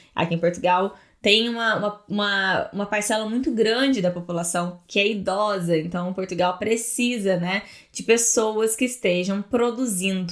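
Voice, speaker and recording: Her pitch varying in an ordinary way, a woman talks at a moderate pace. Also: medium pitch for a woman. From Brazil. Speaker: immigration lawyer. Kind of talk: casual talk to camera.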